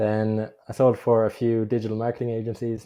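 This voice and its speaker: Against a quiet background, a voice with an Irish accent and a dark, mellow tone moves at a fairly slow pace. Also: man. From Ireland. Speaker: remote sales closer. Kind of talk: interview.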